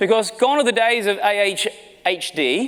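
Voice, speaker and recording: A man with an Australian accent speaks in an animated tone. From Australia, small country town. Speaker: marketing executive. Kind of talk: keynote talk. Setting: stage with audience.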